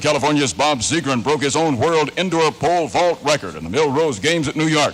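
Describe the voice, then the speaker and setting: A fairly high-pitched man rattles along at a very fast pace against noticeable background noise. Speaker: radio news director. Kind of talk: radio newscast. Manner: distinctive news delivery.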